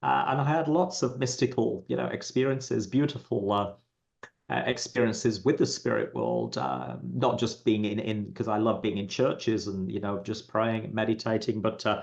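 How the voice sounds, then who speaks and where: With vocal fry and lively intonation, a man speaks at a moderate pace in a fairly low pitch. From England. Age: 60s. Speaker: psychic medium. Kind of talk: interview. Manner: halting, many fillers.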